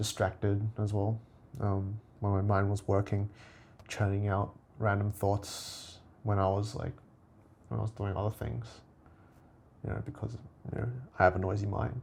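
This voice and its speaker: Somewhat breathy delivery with monotone, flat intonation. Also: man, fairly low pitch for a man, moderate pace. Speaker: vlogger. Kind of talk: casual monologue video log. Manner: halting, searching for words.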